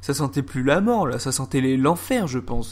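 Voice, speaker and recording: A man with an animated tone, very wide pitch swings and a moderate pace. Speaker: YouTuber storyteller. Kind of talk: casual storytelling.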